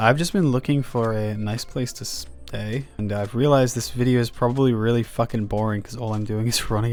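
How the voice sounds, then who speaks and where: In a relaxed tone, a man talks at a moderate pace with medium pitch and ordinary pitch variation. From UK. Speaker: gaming YouTuber and musician. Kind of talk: casual gameplay chat. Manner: relaxed, halting with fillers.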